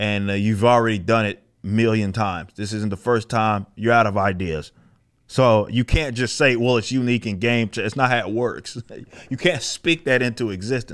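A man at a moderate pace, ordinary pitch variation, quiet background. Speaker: comic commentary streamer. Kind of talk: commentary. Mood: critical, mocking, exasperated. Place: studio. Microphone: studio mic.

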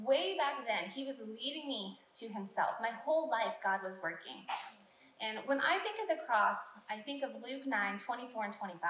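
A woman is speaking amid audible room echo. There is light background noise as well. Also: moderate pace. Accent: American. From California. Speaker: church minister. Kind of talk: testimony. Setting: church. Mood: earnest, grateful. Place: stage.

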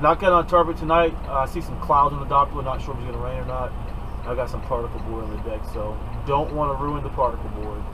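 Over noticeable background noise, a man speaks at a very fast pace. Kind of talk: casual vlog chat, instructional. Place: car. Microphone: camera far.

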